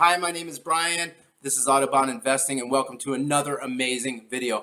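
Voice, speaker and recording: A man speaks at a fairly quick pace. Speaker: investing video host. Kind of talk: stock market video commentary. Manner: fast; frequent fillers (um, uh).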